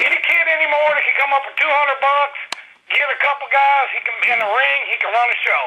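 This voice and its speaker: Noticeable background noise is present. Over it, a man talks very fast. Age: 60s. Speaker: wrestling show co-host. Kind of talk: casual chat.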